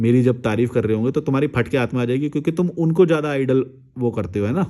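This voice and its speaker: A man speaks at medium pitch in a dark, mellow tone with ordinary pitch variation. The recording is very clean, with a silent background. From India. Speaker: YouTuber, life advice commentator. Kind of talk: casual monologue. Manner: fluent, flowing in Hindi; animated.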